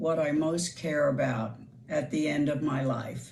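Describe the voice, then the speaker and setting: Very slowly, a woman speaks in a somewhat breathy voice with audible room echo. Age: 80s+. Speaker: retirement community resident. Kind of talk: personal video message.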